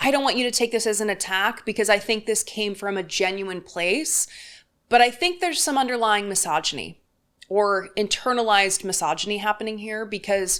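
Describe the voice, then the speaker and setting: A woman's sing-song voice at medium pitch, with ordinary pitch variation and a moderate pace, on a very clean recording with a silent background. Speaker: political commentator. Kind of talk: commentary reading viewer comments. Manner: sing-songy, rising at ends of words.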